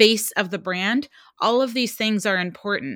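In an American accent, an ordinary speaking voice with fairly even intonation comes through with a dry, close sound and no echo. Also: woman. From New Jersey. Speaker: marketing coach and author. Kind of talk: interview.

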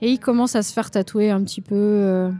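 Her voice somewhat breathy and dark, mellow in tone, a woman speaks at a moderate pace and fairly high pitch with fairly even intonation. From France, Lyon area. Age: 30s. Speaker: tattoo artist. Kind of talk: casual interview.

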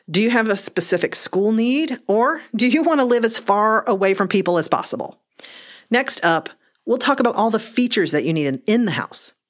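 A woman's fairly high, unremarkable speaking voice, in a very clean recording with a silent background. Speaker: realtor. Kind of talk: informational segment.

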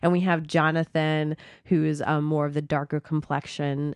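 A woman with a very deep, low pitch is heard in a dry, close sound with no echo against a quiet background. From Dominican Republic and Miami. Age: 20s. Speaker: theater director. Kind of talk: casual interview. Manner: animated.

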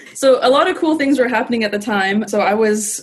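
A woman's unremarkable speaking voice, at a fairly quick pace with ordinary pitch variation. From Canada. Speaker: lawyer. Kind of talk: casual chat.

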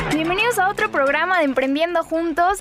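Against noticeable background noise, a woman speaks at a very fast pace with lively intonation. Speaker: radio co-host. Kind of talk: radio hosting and news reading.

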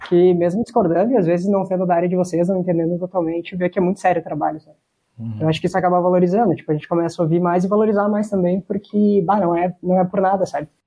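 This man talks at a very fast pace in a high pitch, keeping his intonation fairly even. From Santa Catarina, Brazil.

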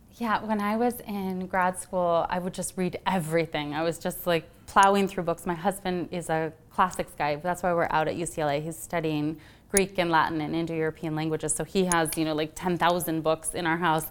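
A woman with an American accent and a normal speaking voice, fairly low pitch, fairly even intonation, a moderate pace and hardly any pauses. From US Midwest. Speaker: novelist. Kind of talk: author talk at library event. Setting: public library with audience.

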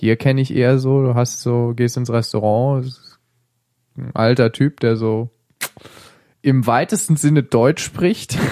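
Very slowly, a man talks at a medium pitch with a dark, mellow tone. He leaves long, frequent pauses and keeps his intonation fairly even. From Germany, Hesse. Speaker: podcast host. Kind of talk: casual tech chat. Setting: studio.

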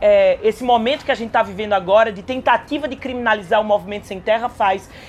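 Music plays in the background. Over it, a woman speaks with ordinary pitch variation. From Caruaru, Pernambuco, Brazil. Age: young. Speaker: state legislator. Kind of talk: interview. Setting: agrarian reform fair.

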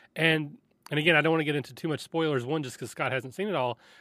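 On a very clean recording with a silent background, a man speaks in a fairly high pitch with a bright, sharp tone. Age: 40s. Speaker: podcast producer and tabletop gamer. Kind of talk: casual chat.

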